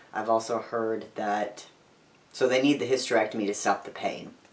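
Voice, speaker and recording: Amid noticeable background noise, a man speaks with a fairly low pitch and monotone, flat intonation. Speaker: vlogger, transgender man and teacher. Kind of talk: video diary. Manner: casual, hesitant.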